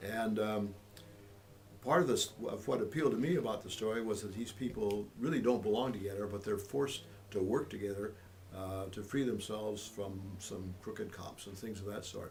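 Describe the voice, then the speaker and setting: A somewhat breathy man with fairly low pitch and ordinary pitch variation, at a moderate pace. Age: 80s+. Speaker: author. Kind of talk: interview answer. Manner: hesitant, casual.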